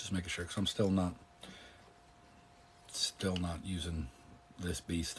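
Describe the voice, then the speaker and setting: A man speaks in a calm tone with a very deep, low pitch and a somewhat breathy quality. His pace is fairly slow, with fairly even intonation and long, frequent pauses. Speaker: political commentator and live streamer. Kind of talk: casual chat. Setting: live stream.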